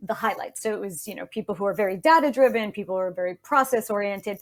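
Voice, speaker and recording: A woman's medium-pitched voice in a New York accent, with ordinary pitch variation, on a very clean recording with a silent background. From New York City. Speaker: communication expert, speech-language pathologist. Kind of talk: interview. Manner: fast; animated.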